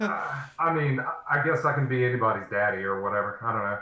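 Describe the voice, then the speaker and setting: A man of medium pitch at a fairly quick pace, lively in intonation, with audible room echo. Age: 20s. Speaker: streamer. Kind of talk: casual chat.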